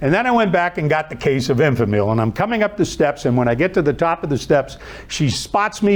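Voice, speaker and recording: A man with a Midwestern American accent talks at a fairly quick pace, his fairly high voice swinging very widely in pitch. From Ohio, Youngstown. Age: 70s. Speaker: author and inspirational speaker. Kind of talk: storytelling talk.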